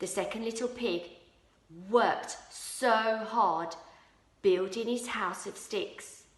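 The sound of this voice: This is an unforced reading voice. The text is read aloud in it.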